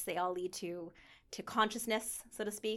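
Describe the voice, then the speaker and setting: A woman with an ordinary speaking voice talks at a medium pitch, her pitch varying in an ordinary way. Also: very clean recording, silent background. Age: 40s. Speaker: yoga instructor. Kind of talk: interview.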